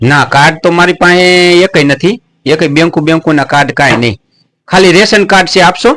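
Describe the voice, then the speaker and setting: His voice is high-pitched for a man, with a bright, sharp tone. Loudness stays very even while pitch varies in an ordinary way. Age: 50s. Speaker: comedian. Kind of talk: prank call comedy.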